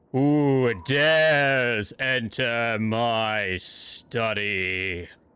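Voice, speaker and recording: Using a put-on character voice at a medium pitch, a man speaks at a very slow pace. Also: very clean recording, silent background. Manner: ghostly.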